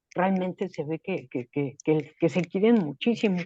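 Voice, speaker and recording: Against a quiet background, a woman speaks at a fairly low pitch with ordinary pitch variation. The sound is dry and close, with no echo. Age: 60s. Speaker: writing workshop participant. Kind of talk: casual chat.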